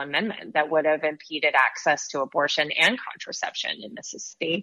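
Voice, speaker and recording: Using a normal speaking voice, a woman with a fairly low pitch talks at a fairly quick pace with ordinary pitch variation. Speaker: reproductive rights advocacy leader. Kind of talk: interview.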